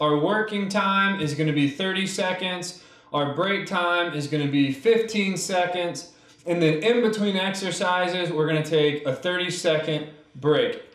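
A man speaks at a moderate pace with high pitch and ordinary pitch variation. Room echo is audible. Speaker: fitness instructor. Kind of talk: workout tutorial. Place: empty room.

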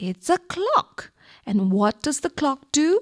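Using very wide pitch swings, a woman with a high pitch speaks at a fairly slow pace, the sound dry and close with no echo. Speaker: primary school teacher. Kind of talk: radio lesson for children. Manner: slow, clear instructional.

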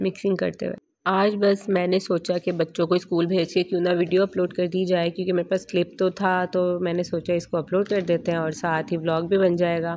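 At a moderate pace, a woman with a fairly low voice speaks in a flat monotone. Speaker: family vlogger. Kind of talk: casual vlog talk. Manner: halting, voice breaking.

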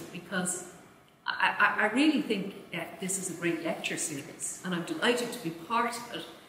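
Audible room echo surrounds a woman's speech. Light background noise can be heard too. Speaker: event chair introducing lecturer. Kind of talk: formal introduction speech. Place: hall. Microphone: podium.

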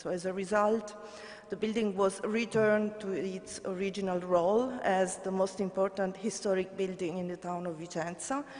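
A woman's medium-pitched voice with an Italian accent, at a moderate pace with fairly even intonation. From Italy. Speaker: government heritage official; conference presenter. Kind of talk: conference report. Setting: conference stage with audience. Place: hall. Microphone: podium.

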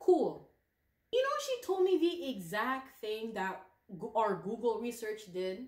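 There is audible room echo as a woman speaks very slowly with very wide pitch swings. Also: fairly high pitch for a woman, quiet background. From Canada. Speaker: plant YouTuber. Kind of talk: casual vlog chat while potting plants. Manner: chatty, casual. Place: home room. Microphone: phone near.

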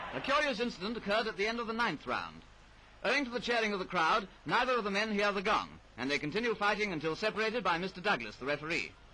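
A man with a high pitch speaks in a raised, projected voice at a very fast pace. His intonation is lively, with light background noise behind him. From England. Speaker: newsreel commentator. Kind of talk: sports newsreel commentary. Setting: vintage film soundtrack. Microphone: old recording.

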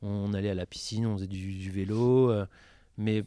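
A man speaks at a moderate pace with a dark, mellow tone. The recording is very clean, with a silent background. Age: 30s. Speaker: para-badminton athlete. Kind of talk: interview.

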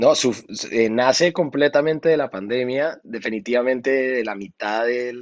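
Against a quiet background, a man talks at a fairly slow pace with ordinary pitch variation. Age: 30s. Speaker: singer and music producer; guest. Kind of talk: interview. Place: studio. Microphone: video call.

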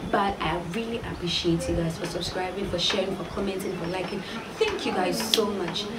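A woman at a fairly quick pace over loud background noise. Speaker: vlogger. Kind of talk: casual vlog chat. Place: home room. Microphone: camera far.

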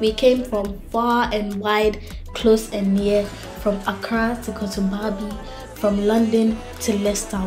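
A woman speaks over music in the background. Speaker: vlogger narrator. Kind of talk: casual vlog narration.

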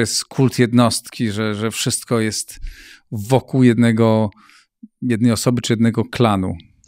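A man with a medium pitch speaks at a very slow pace. The sound is dry with no echo, and the background is quiet. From Poland. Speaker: interview host. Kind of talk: interview. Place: studio. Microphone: studio mic.

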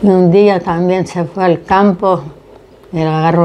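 At a moderate pace, a woman speaks in a fairly low pitch with monotone, flat intonation over light background noise. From Lebanon. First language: Arabic (speaking Spanish). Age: 80s+. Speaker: immigrant elder; interviewee. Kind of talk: interview testimony. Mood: reflective, recounting loss and family. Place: kitchen.

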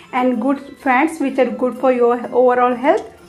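A woman's high-pitched voice at a moderate pace, faint music in the background. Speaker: health tips creator. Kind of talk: casual tips explainer. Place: home room. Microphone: lapel.

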